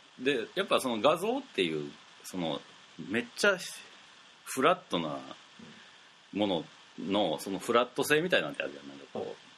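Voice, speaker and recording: Through noticeable background noise, a man talks at a fairly quick pace with very wide pitch swings, big swings in loudness, and long, frequent pauses. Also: medium pitch for a man. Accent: Kansai. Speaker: radio host. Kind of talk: casual chat.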